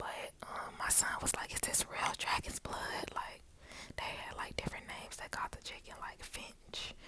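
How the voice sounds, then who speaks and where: Whispering from a woman at a moderate pace, with noticeable background noise. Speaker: ASMR creator. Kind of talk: ASMR whisper ramble. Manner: whispered.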